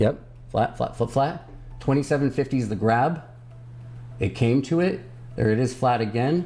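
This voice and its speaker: Music plays behind a man of medium pitch whose loudness stays very even, with ordinary pitch variation and long, frequent pauses. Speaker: stock livestream host. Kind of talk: casual livestream chat about stock charts. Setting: live stream. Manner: fast; stumbling when speeding up.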